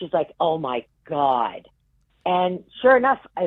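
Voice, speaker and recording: In a New England accent, a woman speaks fairly slowly at a medium pitch, animated, her pitch swinging very widely. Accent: New England, non-rhotic. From Massachusetts (Worcester). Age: 60s. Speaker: game show contestant. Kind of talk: casual chat.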